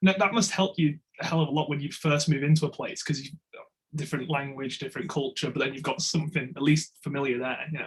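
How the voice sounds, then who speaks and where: Somewhat breathy and fairly high-pitched, a man talks at a very fast pace with fairly even intonation. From England. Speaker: podcast interviewer. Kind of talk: interview.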